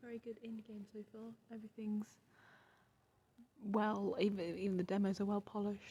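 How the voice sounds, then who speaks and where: Quiet whispering at a fairly quick pace. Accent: British. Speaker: gaming podcast co-host, streamer. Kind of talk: casual chat. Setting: live at a video game expo. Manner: whispering, quiet.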